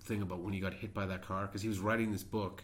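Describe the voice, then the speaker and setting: A man's fairly low voice carries fairly even intonation. There is audible room echo. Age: 40s. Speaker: podcast co-host. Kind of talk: casual chat.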